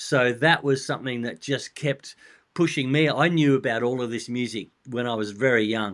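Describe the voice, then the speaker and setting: A quiet background behind a male speaker with an Australian accent. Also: medium pitch for a man, ordinary pitch variation, moderate pace. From Australia, Adelaide. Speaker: rock drummer and author. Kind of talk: interview.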